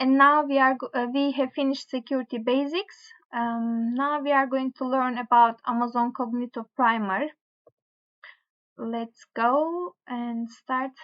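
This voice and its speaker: The speaker has a strong non-native accent and fairly even intonation. The pace is fairly slow against a quiet background. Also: woman, high pitch for a woman. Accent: strong foreign accent (own remark). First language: not English. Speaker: tech tutorial creator. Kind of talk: tutorial, reading course material aloud. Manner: halting, with fillers and self-corrections. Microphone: webcam.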